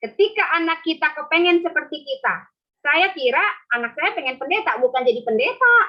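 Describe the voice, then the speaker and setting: A woman's extremely high voice at a fairly quick pace, with very wide pitch swings. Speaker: pastor. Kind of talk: sermon. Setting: video call. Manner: animated.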